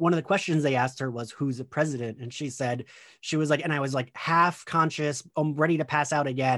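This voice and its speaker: A man with a normal speaking voice, fairly high in pitch, at a fairly quick pace with ordinary pitch variation, recorded very cleanly against a silent background. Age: 30s. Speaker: podcast host. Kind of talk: casual chat.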